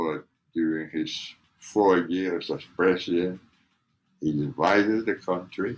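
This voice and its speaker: The speaker goes at a very slow pace with long, frequent pauses and ordinary pitch variation. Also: man, very deep, low pitch for a man. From Cuba. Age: 80s+. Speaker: interviewee, grandfather. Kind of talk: family oral history interview.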